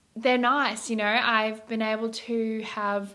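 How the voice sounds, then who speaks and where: The speech is fairly slow and monotone, with flat intonation and noticeable background noise. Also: woman. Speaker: vlogger sharing eating disorder recovery. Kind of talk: casual chat to camera.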